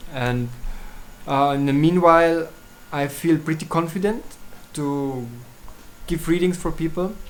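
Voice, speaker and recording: A German accent at a fairly slow pace, with long, frequent pauses. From Switzerland. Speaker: astrologer. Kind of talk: tutorial. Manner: halting.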